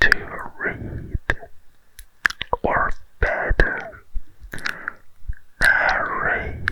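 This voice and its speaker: Whispering from a man at a very slow pace, over noticeable background noise. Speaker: ASMR storyteller. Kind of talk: casual intro to listeners. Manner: whispered.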